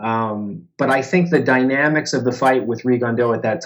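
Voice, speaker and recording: With an ordinary speaking voice, a man talks at a medium pitch with ordinary pitch variation. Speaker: boxing writer and journalist. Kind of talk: interview answer.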